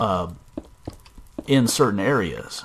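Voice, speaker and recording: With noticeable background noise and audible room echo, a man talks at a fairly slow pace, medium in pitch, with ordinary pitch variation. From US Midwest, border state. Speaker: gaming YouTuber. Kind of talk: casual gameplay commentary. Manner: halting, many fillers.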